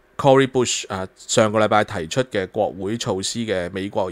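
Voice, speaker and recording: Moderate-paced speech from a man, ordinary pitch variation, very clean recording and silent background. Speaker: political commentary host. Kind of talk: solo news commentary. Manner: animated, with many filler sounds.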